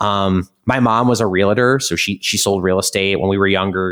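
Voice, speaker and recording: A man with an American accent speaks in a fairly low pitch. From US Midwest, Chicago suburbs. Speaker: startup co-founder and investment executive. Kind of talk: interview.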